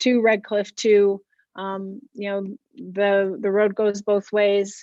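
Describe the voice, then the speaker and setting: A woman does the talking. Her voice has a medium pitch. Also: dry, close sound with no echo. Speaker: school administrator. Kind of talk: public meeting response. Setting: public hearing. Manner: slow, hesitant.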